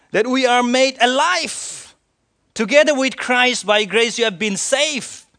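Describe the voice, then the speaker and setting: Using a raised, projected voice, a man talks at a fairly slow pace with extremely high pitch, a bright, sharp tone and ordinary pitch variation. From India. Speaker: pastor. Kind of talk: sermon.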